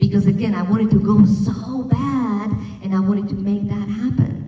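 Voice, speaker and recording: Over noticeable background noise and audible room echo, a woman with a slight Slovak accent speaks at a medium pitch and a moderate pace. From Slovakia. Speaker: wellness speaker. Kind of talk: talk to an audience.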